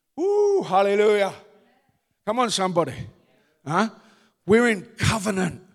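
Delivered in a strong Cockney accent, the animated voice comes through on a very clean recording with a silent background. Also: man. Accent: deep Cockney. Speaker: pastor. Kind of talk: sermon. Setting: church.

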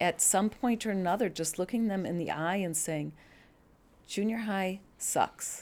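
A woman speaks with a Chicago accent at a medium pitch. The recording is very clean, with a silent background. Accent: Chicago-area American. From US Midwest, Chicago suburbs, Illinois. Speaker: church member. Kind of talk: interview, personal story.

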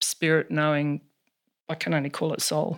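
A woman speaks with an Australian accent in a very clean recording with a silent background. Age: 60s. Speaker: counsellor. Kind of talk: interview. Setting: in her home.

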